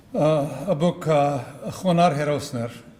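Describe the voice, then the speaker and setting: Speaking at a very slow pace, a man with an American accent has a fairly high pitch, with audible room echo and noticeable background noise. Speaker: history professor and author. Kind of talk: conference speech. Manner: halting, many fillers.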